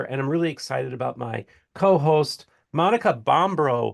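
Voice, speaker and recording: A man with a Midwestern accent. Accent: Midwest. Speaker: podcast host. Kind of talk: interview.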